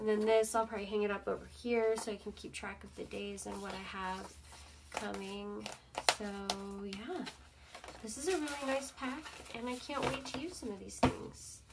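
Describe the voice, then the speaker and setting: A woman at a moderate pace, with long, frequent pauses over loud background noise. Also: ordinary pitch variation. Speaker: craft channel host. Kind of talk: casual unboxing chat. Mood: pleased, enthusiastic. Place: home room.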